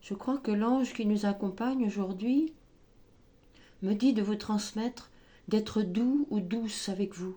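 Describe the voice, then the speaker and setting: Soft-spoken and somewhat breathy, a woman talks at a very slow pace in a dark, mellow tone, with ordinary pitch variation and long, frequent pauses. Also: fairly high pitch for a woman. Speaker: tarot and oracle card reader. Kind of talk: spiritual guidance reading. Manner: hesitant, filler-heavy.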